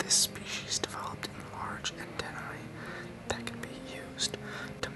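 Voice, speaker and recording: Noticeable background noise sits behind a man who is whispering. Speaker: ASMR creator. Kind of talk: ASMR reading of game creature entries. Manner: whispered.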